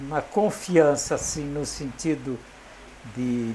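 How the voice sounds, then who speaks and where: Noticeable background noise runs behind a man whose fairly high pitch shows ordinary pitch variation. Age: 90s. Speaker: retired condominium manager. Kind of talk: interview. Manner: halting, repeats words.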